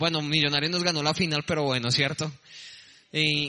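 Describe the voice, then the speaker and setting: Noticeable background noise sits under a man talking at a fairly quick pace. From Colombia, Bogotá. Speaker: preacher. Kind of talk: sermon.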